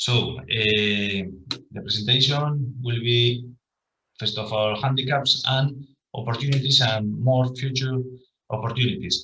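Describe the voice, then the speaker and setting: A man with a bright, sharp tone and fairly even intonation talks in a room with audible echo. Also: medium pitch for a man, fairly slow pace. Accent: Spanish. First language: Spanish. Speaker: professor. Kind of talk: conference presentation. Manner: halting.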